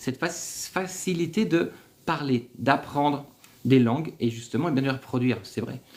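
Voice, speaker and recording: Lively intonation in a man's voice of medium pitch. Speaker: livestream host on business in Algeria. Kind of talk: live stream Q&A. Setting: livestream. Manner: energetic.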